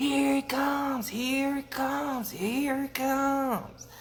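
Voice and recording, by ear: Using a put-on character voice, a man speaks very slowly at an extremely high pitch with fairly even intonation.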